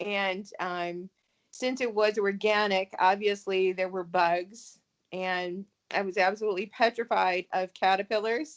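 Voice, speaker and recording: At a fairly slow pace, a woman of medium pitch speaks with fairly even intonation in a dry, close sound with no echo. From US Midwest. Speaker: novelist. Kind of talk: interview. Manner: hesitant, many fillers.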